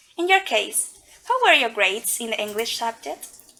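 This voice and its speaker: Background noise is noticeable here. A woman speaks at a moderate pace. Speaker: English teaching student. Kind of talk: scripted podcast interview.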